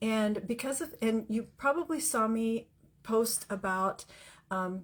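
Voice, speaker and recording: In a very clean recording with a silent background, a woman speaks with a fairly high pitch, lively intonation and a somewhat breathy quality. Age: 60s. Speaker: livestream host and life coach. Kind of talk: motivational talk. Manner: halting with fillers.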